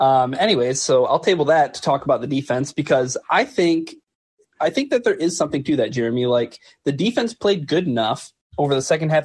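Speaking at a fairly quick pace, a man uses a plain, everyday voice pitched fairly high. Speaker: sports website senior editor, co-host. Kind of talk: live call-in sports talk show.

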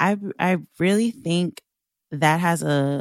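Recorded with a dry, close sound and no echo, the speaker talks in a New York accent. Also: woman, very clean recording, silent background. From US Northeast, Long Island, New York. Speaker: burlesque dancer and sex work activist. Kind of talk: interview.

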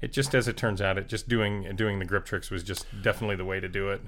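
A man with an American accent and an unremarkable speaking voice, fairly low in pitch, at a fairly quick pace. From South Florida. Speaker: Steadicam operator. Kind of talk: casual chat. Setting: in person, over beers.

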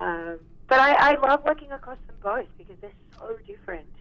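A woman with an Australian accent has a husky voice at a high pitch. She moves at a fairly quick pace with lively intonation.

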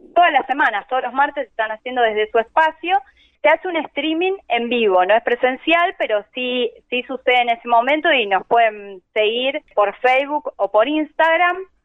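Hardly pausing, a woman speaks in a high pitch with lively intonation. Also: moderate pace. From Argentina, Buenos Aires conurbano. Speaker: singer. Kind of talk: interview.

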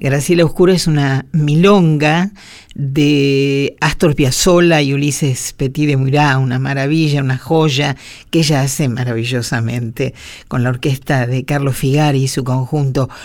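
A woman's very deep, low voice at a fairly slow pace, with fairly even intonation. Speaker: radio host. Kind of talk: radio program presentation.

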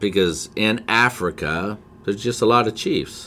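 In a very clean recording with a silent background, a man with an American accent and a fairly low pitch talks in a bright, sharp tone with lively intonation. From Montana, US. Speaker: forex trading educator. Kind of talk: casual chat.

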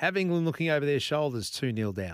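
A man with an Australian accent and lively intonation, dry and close with no echo, on a very clean recording with a silent background. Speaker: radio host. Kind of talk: talk radio. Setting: studio.

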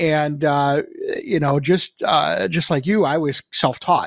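An ordinary speaking voice from a man, fairly high in pitch with ordinary pitch variation, in a dry, close recording with no echo and a very clean, silent background. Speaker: broadcast engineer co-host. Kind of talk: casual chat. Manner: jokey.

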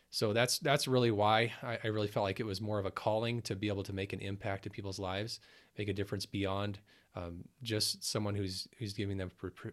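A man talks in a plain, everyday voice at a fairly low pitch. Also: very clean recording, silent background. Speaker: ER nurse and business founder. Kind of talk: casual interview.

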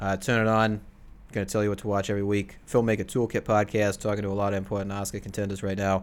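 Talking at a very fast pace, a man with a fairly low voice keeps a monotone, flat intonation, in a very clean recording with a silent background. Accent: Boston. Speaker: podcast host. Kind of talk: casual chat.

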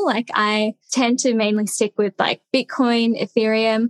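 A woman speaks with an Australian accent and a fairly high pitch. The sound is dry and close, with no echo. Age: 20s. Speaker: content creator. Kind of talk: casual interview.

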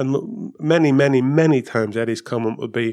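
A man with a Northern Irish accent and ordinary pitch variation, on a very clean recording with a silent background. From Northern Ireland. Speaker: former Formula 1 technical director. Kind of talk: casual chat.

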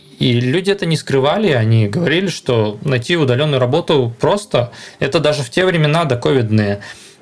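A man's fairly high-pitched voice at a fairly quick pace, with lively intonation, very even loudness and noticeable background noise. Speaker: software architect. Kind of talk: casual interview.

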